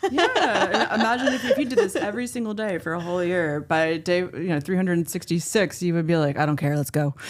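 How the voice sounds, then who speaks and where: A woman talks at a very fast pace with hardly any pauses, her fairly low voice lively in intonation over noticeable background noise. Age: 40s. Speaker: singer-songwriter and electronic musician. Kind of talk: casual podcast interview. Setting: coffee shop.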